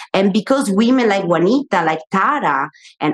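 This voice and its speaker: A woman with an Italian accent speaks with lively intonation, the sound dry and close with no echo. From Italy. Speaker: media personality and author. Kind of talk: live panel discussion. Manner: halting.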